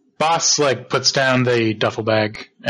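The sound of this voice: Ordinary pitch variation runs through an unforced reading voice.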